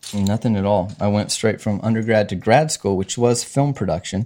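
Here a man has a dark, mellow tone and a fairly low pitch. He moves at a moderate pace with ordinary pitch variation. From Arkansas. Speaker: filmmaker and college teacher. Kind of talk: casual chat.

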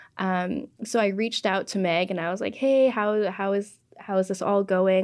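A woman with a Canadian accent has an unremarkable speaking voice, medium pitch and fairly even intonation, speaking at a fairly slow pace on a very clean recording with a silent background. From Canada. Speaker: podcast producer. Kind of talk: interview.

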